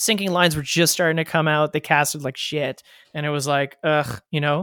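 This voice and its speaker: In a Canadian accent, a man speaks at a moderate pace and a fairly high pitch, with a dry, close sound with no echo. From Canada, Ottawa. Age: 30s. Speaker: fly fishing guide. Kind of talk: casual chat. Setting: remote call. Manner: halting, many fillers and repetitions.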